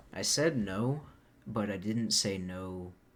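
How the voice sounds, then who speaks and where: Soft-spoken, a man talks with lively intonation at a fairly low pitch. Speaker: vlogger. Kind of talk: casual vlog monologue. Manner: soft-spoken, quiet.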